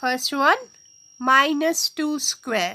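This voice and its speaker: A woman speaks at a very slow pace in a high, raised, projected voice. Her tone is bright and sharp, with ordinary pitch variation. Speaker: maths teacher. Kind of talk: lecture.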